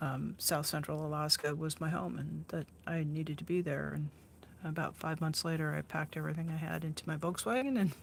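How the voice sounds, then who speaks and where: The tone is relaxed. Speech moves at a fairly quick pace. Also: woman. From Oregon, US Pacific Northwest. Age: 60s. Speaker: artist and live-stream host. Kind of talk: casual chat while painting on a live stream. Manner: relaxed, with many fillers and restarts.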